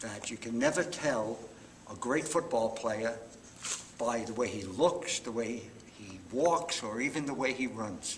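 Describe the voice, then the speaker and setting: A man speaks with a New York accent and ordinary pitch variation. Noticeable background noise is present. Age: 70s. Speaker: retired high school football coach. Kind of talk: interview.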